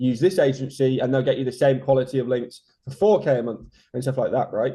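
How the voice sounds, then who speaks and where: The man's voice is dark, mellow and somewhat breathy. He speaks at a very fast pace. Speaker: SEO consultant. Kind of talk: interview.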